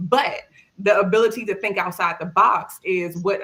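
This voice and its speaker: A woman with a strong Maryland accent talks at a moderate pace. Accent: Maryland accent, still very strong. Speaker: cybersecurity tester. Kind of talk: panel discussion. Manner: casual, conversational.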